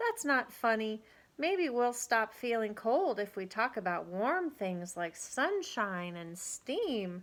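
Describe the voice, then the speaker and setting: A woman's put-on character voice, fairly high-pitched and fairly slow. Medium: read story.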